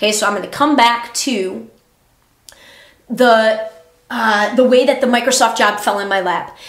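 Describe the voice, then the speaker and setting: An animated voice comes through with long, frequent pauses and audible echo from the room. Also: woman, fairly high pitch for a woman, moderate pace. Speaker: podcaster, former teacher. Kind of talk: casual monologue.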